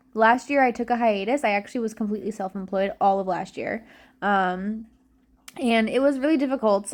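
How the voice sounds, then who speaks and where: At a fairly quick pace, a woman with an unremarkable speaking voice and fairly high pitch talks over a quiet background. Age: 20s. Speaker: reseller and content creator. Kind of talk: casual work-along vlog. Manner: casual, filler-heavy.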